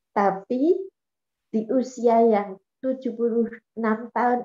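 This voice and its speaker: Her pitch is fairly high, yet the woman's tone is dark and mellow. Echo from the room can be heard. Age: 80s+. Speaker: program participant; guest. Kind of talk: testimony. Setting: video call. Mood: cheerful, laughing often. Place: home room. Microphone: video call.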